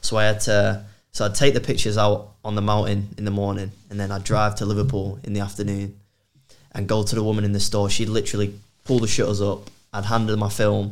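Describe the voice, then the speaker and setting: A man's very fast, monotone delivery with flat intonation, a fairly low pitch and a Mancunian accent. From Manchester, England. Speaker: outdoor content creator. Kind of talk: casual chat.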